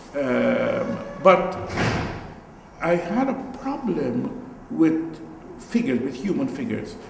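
Speaking very slowly with long, frequent pauses, a high-pitched man makes very wide pitch swings amid light background noise and audible room echo. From Guyana. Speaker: visual artist. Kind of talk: artist talk before an audience. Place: hall.

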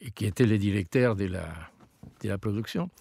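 This man speaks with a Spanish accent and ordinary pitch variation, recorded dry and close with no echo. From Argentina. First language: Spanish (speaking French). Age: old. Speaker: opera tenor singer. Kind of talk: casual interview. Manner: halting.

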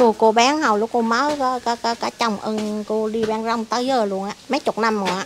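A woman's fairly high, fairly quick voice with fairly even intonation, hardly any pauses, and light background noise. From Vietnam. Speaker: mother of ill son, street vendor; street vendor. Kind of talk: personal testimony. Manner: halting. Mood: earnest, recounting hardship. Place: garden. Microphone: handheld.

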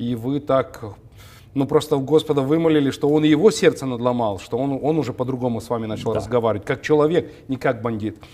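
Speaking at a fairly quick pace, a man has a dark, mellow tone. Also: ordinary pitch variation. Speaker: TV talk show host. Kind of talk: interview. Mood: warm, smiling, friendly. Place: studio. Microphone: lapel.

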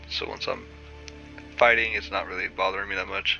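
Music plays in the background as a man speaks. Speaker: gaming tutorial creator. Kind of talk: game UI tutorial voiceover.

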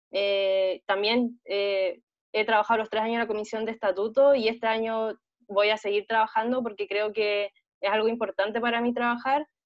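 Over a quiet background, a woman speaks at a moderate pace with a fairly high pitch and flat, monotone intonation. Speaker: student election candidate; election candidate. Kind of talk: debate. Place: home room. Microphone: earbuds.

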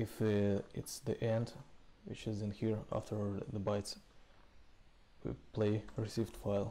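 A man speaks in a fairly low voice with a dark, mellow tone. His intonation is monotone and flat, and his pace is fairly slow.

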